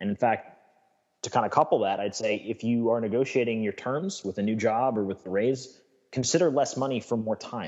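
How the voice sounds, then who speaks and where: A man speaks in a plain, everyday voice at a medium pitch. His pace is fairly quick, with ordinary pitch variation. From New York State. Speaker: lifestyle coach. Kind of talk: interview.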